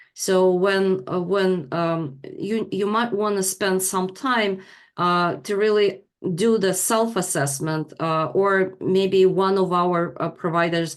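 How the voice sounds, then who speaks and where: A woman with a non-native accent and a medium pitch speaks at a very slow pace with ordinary pitch variation. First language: not English. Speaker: leadership training provider. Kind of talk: online class presentation. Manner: halting, many fillers.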